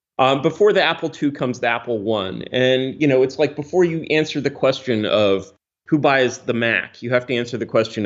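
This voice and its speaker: A man in an ordinary speaking voice, medium in pitch, lively in intonation, at a fairly quick pace with hardly any pauses. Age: 40s. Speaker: software developer. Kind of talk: casual chat. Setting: loud jet noise outside.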